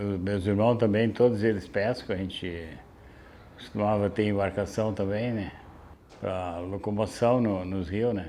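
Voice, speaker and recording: A man speaks slowly-ish at a fairly low pitch, his tone dark and mellow. His intonation stays fairly even, and audible room echo surrounds him. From southern Brazil (Aguapé, Rio Grande do Sul coast). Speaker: fisherman. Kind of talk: interview testimony.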